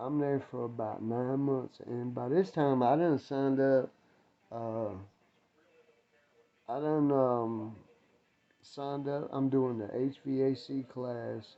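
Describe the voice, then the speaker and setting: At a very slow pace with long, frequent pauses, a man with an American accent speaks at a medium pitch with fairly even intonation. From North Carolina, Winston-Salem. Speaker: ex-prisoner vlogger. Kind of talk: casual storytelling vlog. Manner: casual, rambling with fillers; quiet, keeping voice down.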